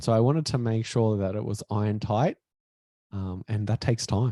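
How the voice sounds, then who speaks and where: A man's fairly low, dark, mellow tone with fairly even intonation at a moderate pace, on a very clean recording with a silent background and a dry, close sound with no echo. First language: not English. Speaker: author and former health coach. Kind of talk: interview.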